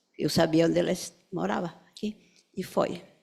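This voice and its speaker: A woman's fairly low, dark and mellow voice with a non-native accent at a fairly slow pace, on a very clean recording with a silent background. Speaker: psychoanalyst. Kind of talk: memorial tribute speech.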